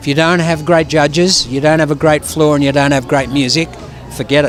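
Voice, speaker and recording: A fairly high-pitched man's voice in an Australian accent, fairly quick and monotone with flat intonation and very even loudness, over music in the background. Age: 70s. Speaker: ballroom dance judge and teacher. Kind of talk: casual interview. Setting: event venue. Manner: halting, repetitive.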